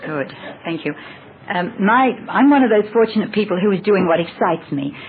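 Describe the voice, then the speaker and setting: Lively intonation from a woman at medium pitch, with noticeable background noise. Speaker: voice teacher. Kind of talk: audience question at channeling session. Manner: fast.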